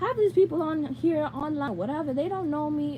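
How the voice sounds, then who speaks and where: There is noticeable background noise behind this woman. She speaks in a high pitch at a moderate pace with lively intonation. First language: Spanish. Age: 20s. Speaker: YouTuber. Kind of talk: live Q&A. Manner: casual rambling.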